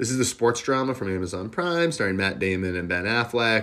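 Here is an unremarkable speaking voice with ordinary pitch variation. The pace is fairly quick. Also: man. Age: 30s. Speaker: podcast host. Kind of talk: solo movie review monologue.

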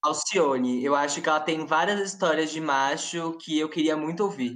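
A woman speaks at a moderate pace in a very deep, low voice. Her pitch varies in an ordinary way. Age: 20s. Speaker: law student. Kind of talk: casual chat.

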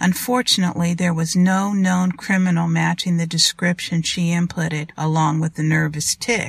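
The voice is somewhat breathy, with fairly even intonation at a moderate pace. The sound is dry and close, with no echo. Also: woman. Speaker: podcast host and author. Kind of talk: audiobook reading of thriller fiction. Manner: steady, measured narration.

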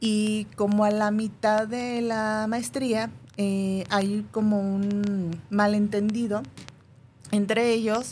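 A somewhat breathy woman's voice, medium in pitch, with ordinary pitch variation. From northern Mexico (Monterrey / Durango). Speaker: hypnotherapist. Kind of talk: interview.

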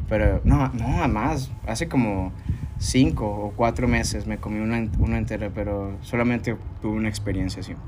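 A man with a Mexican accent speaks at a fairly low pitch and moderate pace, with lively intonation. Noticeable background noise and audible room echo surround him. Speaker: podcast host. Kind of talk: casual chat.

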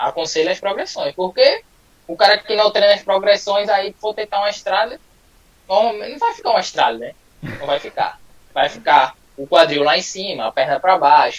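Noticeable background noise sits behind a man with a high pitch. He moves at a moderate pace with ordinary pitch variation. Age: 20s. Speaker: calisthenics athlete. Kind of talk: casual live interview.

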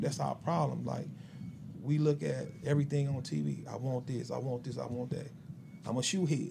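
Audible room echo hangs on words spoken at a moderate pace. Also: man. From Chicago. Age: 40s. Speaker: barber and shop owner. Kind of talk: interview.

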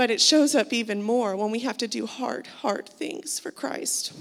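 At a fairly slow pace, a woman with a fairly high pitch speaks in a normal speaking voice. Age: 30s. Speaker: church member. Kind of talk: testimony. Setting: church.

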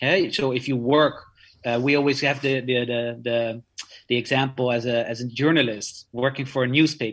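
The speaker has a Dutch accent. The intonation stays fairly even. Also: man, medium pitch for a man, moderate pace. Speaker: art lawyer. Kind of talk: interview.

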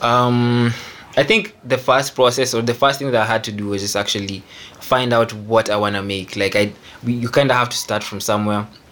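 Over noticeable background noise, a man talks fairly quickly at medium pitch with fairly even intonation. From Kenya. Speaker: music producer. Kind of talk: casual chat. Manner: halting, many fillers.

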